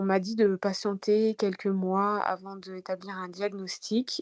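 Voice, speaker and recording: At a very slow pace, a woman speaks at medium pitch in a dark, mellow tone with monotone, flat intonation, in a dry, close sound with no echo. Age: 30s. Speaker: patient sharing testimony. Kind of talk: testimony.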